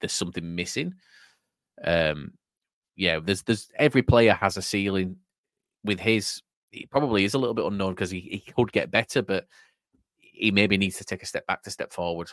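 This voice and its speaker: In a very clean recording with a silent background and a dry, close sound with no echo, a man speaks fairly quickly at a fairly low pitch, his pitch variation ordinary and his loudness swinging widely. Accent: English. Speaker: football podcast host. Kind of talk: casual chat.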